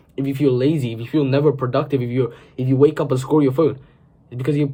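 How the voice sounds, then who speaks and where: Somewhat breathy with a dark, mellow tone, a man talks very fast at a medium pitch in a monotone, flat manner. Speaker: self-improvement video creator. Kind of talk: motivational talk to camera. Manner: casual, filler-heavy.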